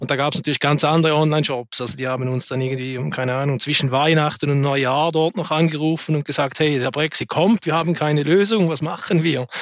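In a Swiss German accent, a man talks very fast with hardly any pauses. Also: fairly high pitch for a man. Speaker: logistics sales executive. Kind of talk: business panel discussion. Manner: halting, many fillers.

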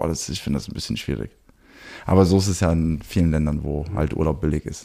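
A man speaks very fast, with vocal fry in his voice. His tone is dark and mellow, and his pitch moves in an ordinary way. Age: 20s. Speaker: photographer and cinematographer. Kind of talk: casual chat. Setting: in his studio. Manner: frequent hesitations and fillers.

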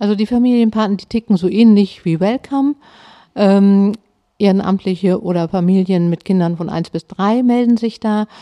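A woman's dark, mellow voice at a medium pitch, with ordinary pitch variation, dry and close with no echo, over a quiet background. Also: moderate pace. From Hamburg (Harburg). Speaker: family education centre director. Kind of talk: casual interview. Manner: hesitant with many fillers.

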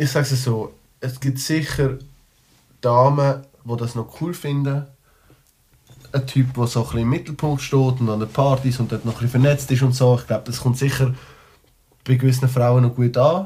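This man speaks at a moderate pace with a medium pitch, a dark, mellow tone, a somewhat breathy quality, fairly even intonation, and long pauses that come often. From Switzerland, Liestal (Basel-Landschaft). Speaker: rapper. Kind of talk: casual chat. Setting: studio.

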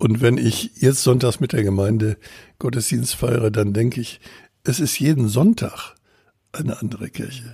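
Somewhat breathy, a man with a dark, mellow tone talks at a moderate pace and medium pitch with ordinary pitch variation. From Bavaria. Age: 70s. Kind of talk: podcast interview.

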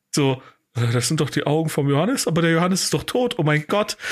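A man speaks at a fairly high pitch and a moderate pace. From Germany, Cologne (Deutz). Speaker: podcast host, comedian. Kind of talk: casual chat.

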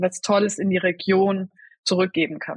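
A woman with a fairly low pitch speaks at a moderate pace in a somewhat breathy voice, with a dry, close sound and no echo. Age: 30s. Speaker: head of a food-service sustainability initiative. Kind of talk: podcast interview. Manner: hesitant, many filler sounds.

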